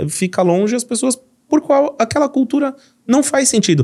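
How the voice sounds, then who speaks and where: A man talks at a moderate pace in a São Paulo accent. The recording is very clean, with a silent background. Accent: paulista. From São Paulo, Brazil. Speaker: company CEO. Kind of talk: business podcast conversation.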